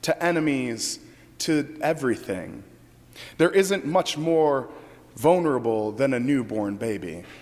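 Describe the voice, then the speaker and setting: This is a plain, everyday voice from a man. He keeps a fairly slow pace with lively intonation. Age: 30s. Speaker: pastor. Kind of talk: sermon.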